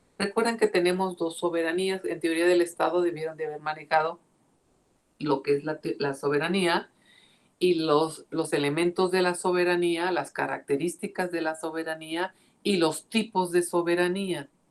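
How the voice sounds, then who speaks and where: A woman's plain, everyday voice with fairly even intonation. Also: fairly low pitch for a woman, moderate pace. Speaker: law professor. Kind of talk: lecture.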